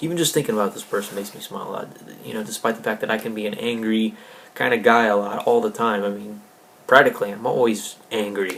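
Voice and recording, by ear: A man speaks fast in a fairly low, fairly bright voice with vocal fry. Audible room echo surrounds him. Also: ordinary pitch variation.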